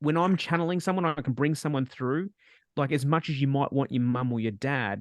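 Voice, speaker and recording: In an Australian accent, a man speaks at a fairly quick pace and fairly high pitch with ordinary pitch variation and very even loudness. The sound is dry and close with no echo, over a quiet background. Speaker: spiritual medium and webinar host. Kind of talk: live webinar Q&A. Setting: video call. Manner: fast.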